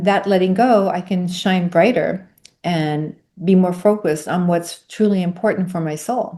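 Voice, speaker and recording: The background is quiet. A woman speaks at a moderate pace with a dark, mellow tone. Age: 60s. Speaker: yoga instructor and sound healer, near-death experiencer. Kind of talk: interview, spiritual testimony. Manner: repeats words, self-corrects.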